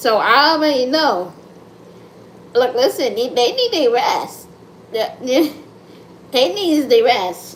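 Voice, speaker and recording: A woman with an American accent talks loudly at a fairly slow pace and a high pitch, animated in tone with very wide pitch swings and long, frequent pauses. Audible room echo and noticeable background noise fill the recording. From United States. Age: 30s. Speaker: content creator livestreamer. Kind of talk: casual livestream chat. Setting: live stream at home.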